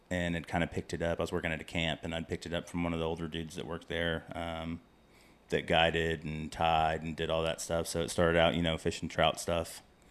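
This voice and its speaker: Very fast and monotone, a man speaks with flat intonation. His American-accented voice is very deep and low. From Central Texas, near Waco. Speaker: fly tier. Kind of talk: casual chat.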